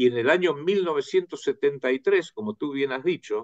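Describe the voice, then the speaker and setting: His pitch swings very widely. This man keeps a moderate pace. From United States. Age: 70s. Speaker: researcher and author. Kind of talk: interview. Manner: hesitant with fillers.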